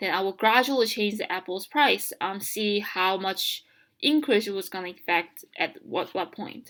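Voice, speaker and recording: A woman talks at a moderate pace in a non-native accent. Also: medium pitch for a woman, ordinary pitch variation. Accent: heavy non-native. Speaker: college student. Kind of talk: educational tutorial narration. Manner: hesitant, casual.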